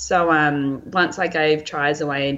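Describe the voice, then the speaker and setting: In an Australian accent, a woman speaks with a very deep, low pitch. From Australia, Lake Macquarie NSW. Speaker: physiotherapist and elite runner. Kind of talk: interview conversation.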